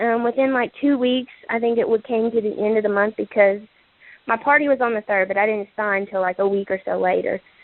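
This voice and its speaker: A woman with a fairly high, shaky voice speaks at a moderate pace with fairly even intonation. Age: 20s. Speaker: direct sales distributor. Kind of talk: testimony. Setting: phone conference call. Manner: hesitant, many fillers.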